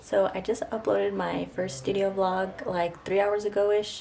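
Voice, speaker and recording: A soft-spoken woman at medium pitch, fairly slow with ordinary pitch variation, over noticeable background noise. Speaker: artist and illustrator vlogger. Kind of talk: casual vlog talk to camera. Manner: soft-spoken, quiet; whispering.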